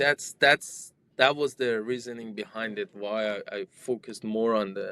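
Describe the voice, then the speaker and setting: Dry and close with no echo, a man's medium-pitched voice has a bright, sharp tone, fairly even intonation and a fairly slow pace. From Iran. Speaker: software developer and tech founder. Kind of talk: interview conversation. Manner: halting, many repetitions and fillers.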